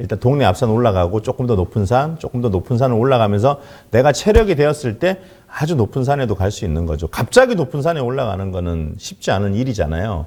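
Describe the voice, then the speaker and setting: A man talks at a very fast pace. His medium-pitched voice moves in very wide pitch swings. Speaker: network marketing distributor. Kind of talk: business presentation.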